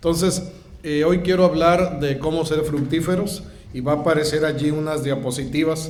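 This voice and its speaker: Noticeable background noise and audible room echo surround this recording. A man with a fairly high pitch speaks at a moderate pace in a monotone, flat intonation. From Mexico. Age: 60s. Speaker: guest pastor. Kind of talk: sermon.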